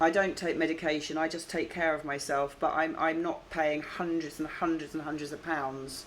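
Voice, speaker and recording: A woman's very deep, low voice at a moderate pace, in monotone, flat intonation. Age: 60s. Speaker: vlogger. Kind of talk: phone complaint. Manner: halting.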